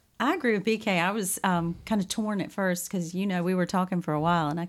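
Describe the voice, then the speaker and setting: At a medium pitch and a fairly quick pace, a woman talks with ordinary pitch variation on a very clean recording with a silent background. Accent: Southern US. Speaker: podcast co-host. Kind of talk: casual chat.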